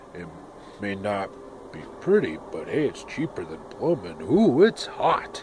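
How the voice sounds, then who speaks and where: A man's put-on character voice at a medium pitch and fairly slow pace, over clear background noise. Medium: solo performance. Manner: gruff, exasperated.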